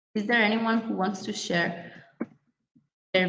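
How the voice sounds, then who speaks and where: A non-native accent with fairly even intonation and audible room echo. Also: woman. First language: not English. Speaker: workshop facilitator. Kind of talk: online workshop lecture. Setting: video call. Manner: hesitant, many fillers.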